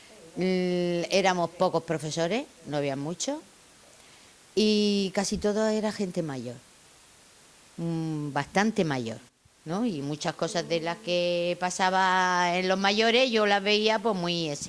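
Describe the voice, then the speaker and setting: A woman at a very slow pace, with long, frequent pauses and ordinary pitch variation. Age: 70s. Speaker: retired teacher. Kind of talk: interview reminiscence. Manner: halting.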